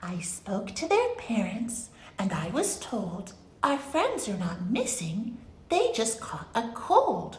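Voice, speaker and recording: A female-sounding put-on character voice, fairly high in pitch, speaks at a fairly slow pace in a gentle, soothing tone against clear background noise. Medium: read story.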